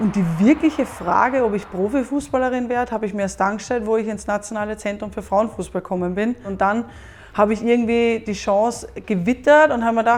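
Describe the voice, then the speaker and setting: A woman with an Austrian accent talks at a fairly quick pace, her pitch fairly high with ordinary variation. Noticeable background noise is present. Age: 20s. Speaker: professional football goalkeeper. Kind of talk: interview monologue.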